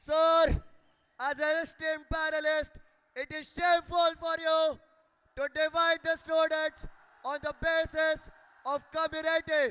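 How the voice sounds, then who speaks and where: A man with a Marathi accent, raised and projected at an extremely high pitch, monotone and flat, fairly slow, with long, frequent pauses and a dry, close sound with no echo. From India, Amravati, Maharashtra. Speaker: student election candidate. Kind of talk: election debate, grilling by panel. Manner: formal.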